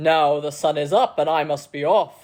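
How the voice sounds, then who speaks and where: The speaker uses a put-on character voice. It sits at a middle pitch. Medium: read story. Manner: hearty, leisurely, condescending.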